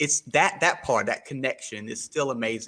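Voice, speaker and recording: In a Southern US accent, the speaker talks at a moderate pace with a bright, sharp tone. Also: man. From US South, South Carolina. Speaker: podcaster. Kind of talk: podcast interview. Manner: halting.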